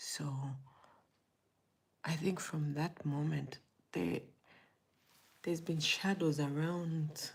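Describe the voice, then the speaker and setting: Somewhat breathy and very slow, a woman speaks in a very deep, low pitch. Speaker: motivational vlogger. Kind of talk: personal testimony. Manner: hesitant, halting.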